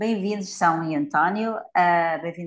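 A woman talks in an ordinary speaking voice at a moderate pace. Her fairly low pitch shows ordinary variation. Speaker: podcast interviewer. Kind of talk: interview.

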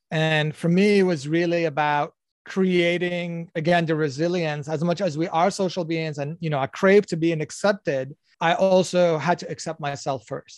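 A man with a slight non-native accent and a high pitch talks at a moderate pace with fairly even intonation, in a dry, close sound with no echo over a quiet background. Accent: slightly foreign-accented American English. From Algeria. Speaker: Islamic life coach and scientist. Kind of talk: casual interview.

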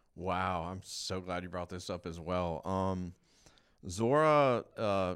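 A man speaks in a very deep, low voice on a very clean recording with a silent background. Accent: American. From Georgia, US South. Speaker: recovery worker. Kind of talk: casual chat.

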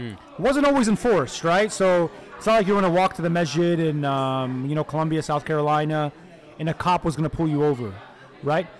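With an American accent, a man speaks fairly quickly at a fairly high pitch and ordinary pitch variation. Noticeable background noise runs underneath. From Detroit, Michigan. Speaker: law professor. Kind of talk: interview.

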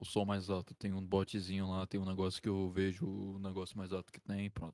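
A man speaks with a very deep, low pitch and monotone, flat intonation. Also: fairly quick pace, dry, close sound with no echo. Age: 20s. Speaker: podcast host. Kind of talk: casual chat. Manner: soft-spoken.

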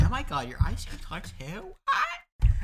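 Someone puts on a character voice and keeps a moderate pace. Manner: excited, girly.

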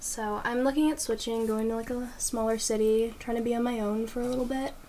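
Speaking fairly quickly with hardly any pauses, a woman keeps a fairly high pitch and fairly even intonation in audible room echo. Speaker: podcast co-host, university student. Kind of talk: casual chat.

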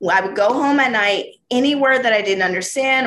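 Her voice is fairly high and bright, sharp in tone, with ordinary pitch variation. The woman talks at a very fast pace. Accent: American. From US South, Georgia. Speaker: former floor trader and podcast host. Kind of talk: casual interview. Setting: video call.

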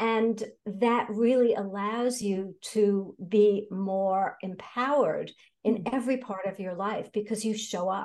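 Very slowly, a woman with an American accent speaks at a fairly high pitch with fairly even intonation. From New York City. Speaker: personal development coach. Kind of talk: interview.

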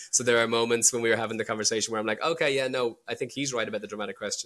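The man's intonation is fairly even. His recording is very clean, with a silent background. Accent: Irish. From Ireland. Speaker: indie film director. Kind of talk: casual analytical discussion of a film.

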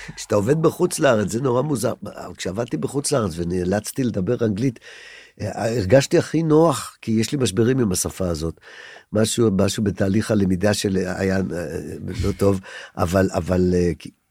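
Using lively intonation at a moderate pace, a man with a fairly low pitch and a dark, mellow tone speaks on a very clean recording with a silent background. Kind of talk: casual chat. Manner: halting.

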